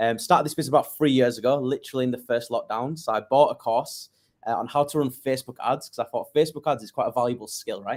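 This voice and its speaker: Speaking at a very fast pace with fairly even intonation, a man with a northern English accent and a medium pitch is heard on a very clean recording with a silent background. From northern England, Leeds. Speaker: digital marketing agency owner. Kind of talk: interview.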